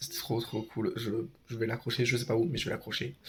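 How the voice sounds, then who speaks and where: A man with a medium pitch talks at a fairly quick pace in a somewhat breathy voice. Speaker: vlogger. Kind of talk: vlog. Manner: hesitant.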